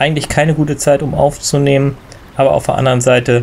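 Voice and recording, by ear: Hoarse and slightly mellow, a man's medium-pitched voice carries vocal fry and moves fairly quickly with little pitch movement.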